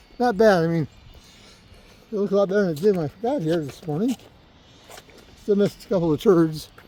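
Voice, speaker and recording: Noticeable background noise surrounds a man talking at a very fast pace. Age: 60s. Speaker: lawn care worker and video creator. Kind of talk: casual vlog talk to camera. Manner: casual, rambling with fillers.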